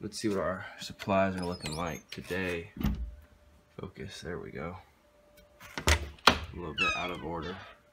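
Against loud background noise, a man speaks at a very deep, low pitch and a fairly slow pace, with fairly even intonation. His loudness swings widely, and he takes long, frequent pauses. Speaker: car vlogger. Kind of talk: vlog. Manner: casual, filler-heavy.

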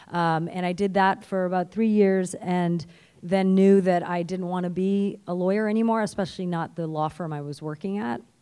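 A woman with a Canadian accent speaks at a moderate pace in a dark, mellow tone, her intonation fairly even against a quiet background. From Canada. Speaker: TV writer and performer. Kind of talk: panel discussion. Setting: stage with audience. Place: stage. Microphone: handheld.

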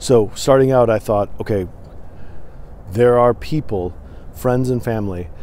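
With an American accent and a dark, mellow tone, a man speaks at a fairly slow pace with ordinary pitch variation and long, frequent pauses, in a dry sound with no echo. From Michigan, partly US West Coast (Portland). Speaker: podcast host. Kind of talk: solo vlog monologue. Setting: recorded on camera. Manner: hesitant, many fillers. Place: open country. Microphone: phone near.

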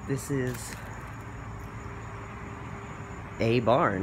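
A man speaks over noticeable background noise. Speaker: explorer vlogger. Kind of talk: casual vlog chat. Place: open country. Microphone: phone near.

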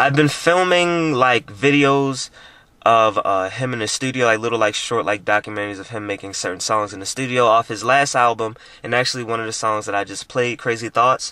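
At a fairly quick pace, a man speaks in a bright, sharp tone with dry sound and no echo. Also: ordinary pitch variation. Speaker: vlogger. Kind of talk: casual vlog chat. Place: car.

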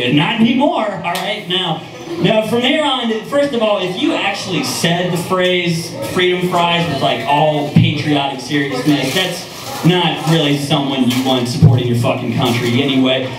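With an American accent, a man talks at a high pitch and moderate pace with very wide pitch swings and hardly any pauses, amid noticeable background noise and audible room echo. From US Midwest, Cincinnati. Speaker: comedian. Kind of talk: profane open-mic stand-up set with crowd asides. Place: stage.

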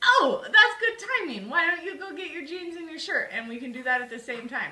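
Over noticeable background noise and audible room echo, a woman projects a raised voice at an extremely high pitch, with very wide pitch swings, big swings in loudness and a fairly quick pace. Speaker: vlogger, mom doing manicure tutorial. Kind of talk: tutorial. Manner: casual, chatty.

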